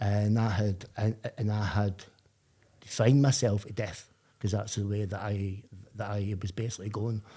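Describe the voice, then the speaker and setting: On a very clean recording with a silent background, a man with a Glaswegian accent speaks in a somewhat breathy, dark, mellow voice, monotone and flat, with long, frequent pauses. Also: fairly low pitch for a man, moderate pace. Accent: Glaswegian Scottish. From Scotland, Glasgow. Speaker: person in addiction recovery. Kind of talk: podcast interview. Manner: halting, with repetitions.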